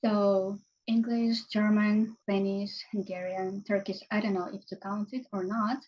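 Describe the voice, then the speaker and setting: A woman's somewhat breathy voice with a Ukrainian accent, fairly slow and flat in a monotone. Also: medium pitch for a woman. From Ukraine. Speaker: language teacher and marketing consultant. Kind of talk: casual interview chat.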